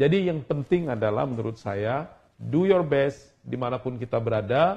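Somewhat breathy, a man speaks at a fairly quick pace and medium pitch against a quiet background. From South Sumatra, Indonesia. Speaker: ambassador; guest. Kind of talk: casual interview. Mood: relaxed, friendly. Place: office.

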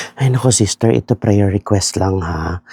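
A man with a fairly low voice talks at a fairly quick pace, his pitch swinging very widely. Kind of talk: gossip disguised as a prayer request, comedic skit. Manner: repetitive, sanctimonious, overly earnest.

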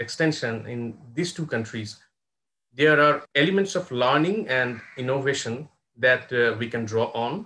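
A man's bright, sharp voice, lively in intonation, at a fairly slow pace. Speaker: professor and moderator. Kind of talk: formal introduction. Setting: video call. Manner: formal. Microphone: earbuds.

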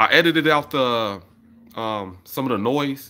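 A man's bright, sharp tone at medium pitch, with ordinary pitch variation. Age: 30s. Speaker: YouTuber and beat maker. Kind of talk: casual livestream chat with viewers. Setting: livestream from home, camera. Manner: casual, conversational. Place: home room. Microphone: phone near.

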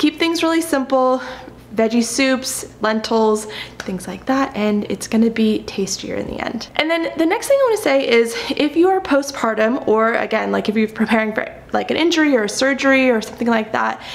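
High-pitched female speech with ordinary pitch variation and a moderate pace. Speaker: vlogger. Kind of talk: casual vlog tutorial chat. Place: kitchen.

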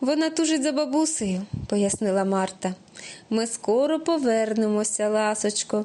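A natural voice reading aloud, intonation lively throughout

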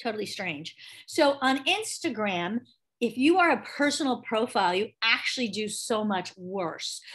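A woman speaks at a moderate pace with very wide pitch swings against a quiet background. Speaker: online class instructor. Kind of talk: tutorial. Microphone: video call.

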